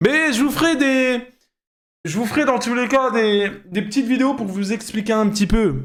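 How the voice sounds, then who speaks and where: A man's animated voice at a moderate pace, with lively intonation. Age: 20s. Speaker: streamer reacting to videos. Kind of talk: live stream reaction commentary.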